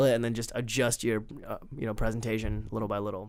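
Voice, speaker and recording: Talking at a very fast pace, a man speaks with an American accent. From India, moved to US at nine, raised in western US. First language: Tamil or Hindi (English is third language). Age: 20s. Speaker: stand-up comedian. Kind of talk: casual interview.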